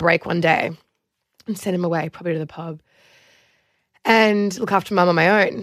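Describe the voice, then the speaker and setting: A woman's fairly low-pitched voice at a moderate pace, with fairly even intonation and long, frequent pauses. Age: 30s. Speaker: reality TV alum and Instagram influencer. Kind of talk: casual chat.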